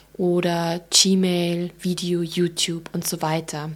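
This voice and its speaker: A woman with a slight Allgäu accent speaks in a medium pitch. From Germany, Allgäu (Bavarian Swabia). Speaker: digital marketing manager. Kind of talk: expert interview.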